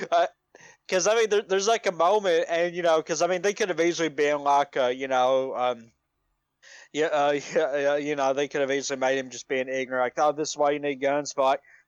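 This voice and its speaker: A man talks at a fairly quick pace with a fairly high pitch and ordinary pitch variation. The sound is dry and close with no echo, over a quiet background. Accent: Appalachian. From Appalachia, US South. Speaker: podcast co-host. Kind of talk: casual chat. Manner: halting, many repeated words and fillers.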